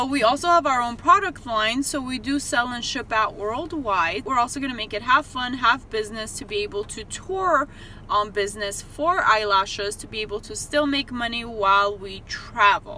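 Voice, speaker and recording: At a high pitch, a woman with a non-native accent speaks at a moderate pace with lively intonation and an animated tone, hardly pausing, over noticeable background noise. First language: not English. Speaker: eyelash extension business owner and vlogger. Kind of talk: casual vlog chat. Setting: in a car in a parking lot.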